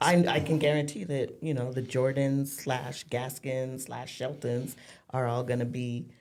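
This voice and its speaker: Over audible room echo, a woman speaks at a fairly slow pace with a very deep, low pitch. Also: fairly even intonation. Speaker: football player's mother. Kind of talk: casual chat.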